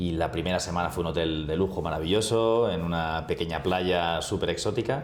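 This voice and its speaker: Against audible room echo, a man speaks with a very deep, low pitch. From Spain, Barcelona. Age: 40s. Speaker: travel agency executive. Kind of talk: interview.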